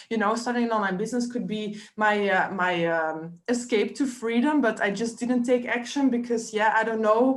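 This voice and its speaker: The speaker, with a non-native accent, talks at a moderate pace with fairly even intonation as room echo is audible. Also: woman. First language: not English. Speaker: online business coach. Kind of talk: live coaching webinar. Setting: live stream on Facebook. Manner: hesitant, many fillers.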